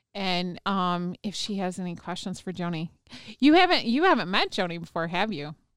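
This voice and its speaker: A woman with an American accent and a normal speaking voice at a medium pitch, moderate pace and ordinary pitch variation, on a very clean recording with a silent background. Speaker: radio host. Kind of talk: casual interview. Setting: radio show.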